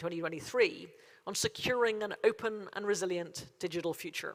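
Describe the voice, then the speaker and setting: A woman with a Derry accent, medium in pitch, at a fairly quick pace with ordinary pitch variation. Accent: Northern Irish (Derry). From Northern Ireland, Derry. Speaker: cybersecurity agency chief executive. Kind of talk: conference keynote speech. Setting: conference stage with audience. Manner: formal.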